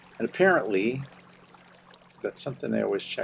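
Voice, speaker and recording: Noticeable background noise fills the clip. Through it, a man talks with an American accent. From Oklahoma. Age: 60s. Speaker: gaming streamer, retired English teacher. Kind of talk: casual gaming livestream commentary. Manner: rambling, hesitant with fillers.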